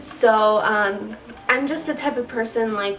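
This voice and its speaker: Ordinary pitch variation marks a woman's unremarkable speaking voice, fairly high in pitch, with an American accent. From Chicago. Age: 20s. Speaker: beauty vlogger. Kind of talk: casual talk to camera. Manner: casual, chatty.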